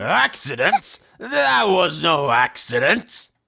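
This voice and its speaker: A man does a put-on character voice at a fairly high pitch and a very slow pace. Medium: fan dub. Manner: theatrical, ominous.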